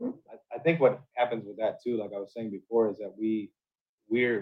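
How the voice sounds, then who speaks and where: In a normal speaking voice, a man with an American accent talks at medium pitch. He keeps a moderate pace. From South Florida. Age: 40s. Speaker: navy veteran. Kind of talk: casual chat. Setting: at home.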